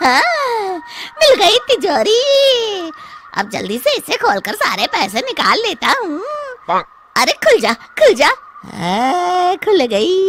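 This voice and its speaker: A woman uses a cartoonish character voice at an extremely high pitch. She goes at a very slow pace. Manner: rough, boastful.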